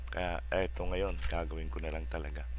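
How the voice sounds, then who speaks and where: Audible room echo hangs around the voice. A man talks at a fairly slow pace. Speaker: software tutorial youtuber. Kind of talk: tutorial. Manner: halting, many fillers.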